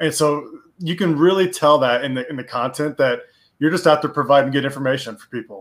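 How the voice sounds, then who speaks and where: This man has an unremarkable speaking voice, fairly high in pitch with ordinary pitch variation, big swings in loudness and a fairly quick pace. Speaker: podcast co-host. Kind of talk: podcast interview.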